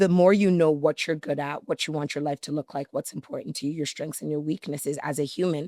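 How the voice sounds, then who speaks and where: With a Canadian accent, a woman speaks at a very fast pace with hardly any pauses, in a very deep, low pitch and a dark, mellow tone with fairly even intonation, the very clean recording dry and close with no echo and a silent background. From Canada (Toronto), Nigerian-Yoruba family. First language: Yoruba. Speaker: business strategist and coach. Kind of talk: podcast interview.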